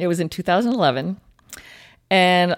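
Using a plain, everyday voice, a woman speaks at a fairly low pitch with ordinary pitch variation on a very clean recording with a silent background. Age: 40s. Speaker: ultramarathon runner with MS. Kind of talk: interview.

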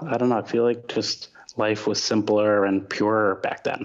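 A man with a New York accent speaks fairly slowly in a fairly low voice with monotone, flat intonation. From New York, Long Island. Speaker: comedy club owner. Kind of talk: casual chat. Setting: video call.

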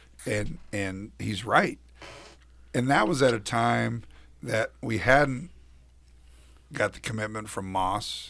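Vocal fry marks a man's fairly low voice, bright and sharp in tone with ordinary pitch variation. He speaks at a very slow pace with long, frequent pauses. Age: 40s. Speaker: college basketball radio analyst and former player. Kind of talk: casual chat.

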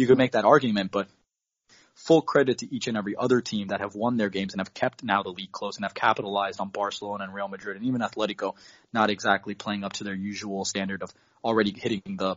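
Someone with an American accent talks at a very fast pace, with big swings in loudness. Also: man. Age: 20s. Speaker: football club intern. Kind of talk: casual chat. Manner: animated.

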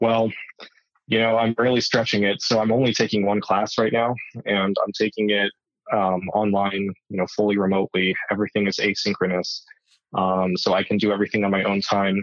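At a fairly quick pace, a man with a Southwestern US accent talks in a fairly low pitch, monotone and flat in intonation, with very even loudness. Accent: American (Southwest). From Arizona, US. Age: 20s. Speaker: wheelchair tennis player. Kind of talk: interview. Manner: halting, many fillers.

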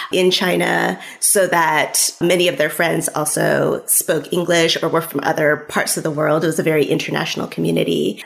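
A woman with an American accent at a moderate pace, over noticeable background noise. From California, US. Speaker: author. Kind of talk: interview.

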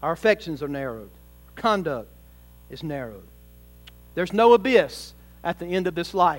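This man's voice is high-pitched, with very wide pitch swings and big swings in loudness. He keeps a moderate pace broken by long, frequent pauses. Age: 40s. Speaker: pastor. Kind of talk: sermon. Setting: church.

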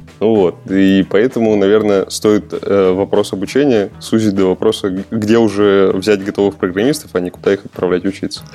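A man's fairly low voice with fairly even intonation and hardly any pauses, over noticeable background noise. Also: moderate pace. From Udmurtia, Russia (Glazov). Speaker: senior game programmer. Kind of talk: podcast interview. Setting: remote call.

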